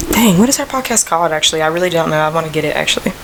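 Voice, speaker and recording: Noticeable background noise sits under a woman's voice. She speaks very fast at a fairly low pitch. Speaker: podcast host. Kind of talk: casual chat.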